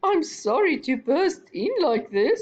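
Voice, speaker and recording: Fairly slow and high-pitched, a put-on character voice moves through very wide pitch swings. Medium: read story.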